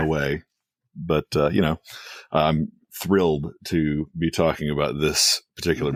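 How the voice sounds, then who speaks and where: Very deep and low, a man's voice comes in a monotone, flat intonation with very even loudness and long, frequent pauses, recorded dry and close with no echo over a very clean, silent background. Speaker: podcast guest.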